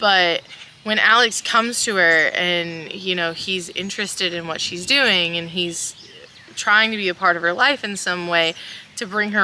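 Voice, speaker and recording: At a moderate pace, a woman with a Kentucky accent talks at a medium pitch with ordinary pitch variation over noticeable background noise. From South Central Kentucky. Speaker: podcast voice actor. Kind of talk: casual interview.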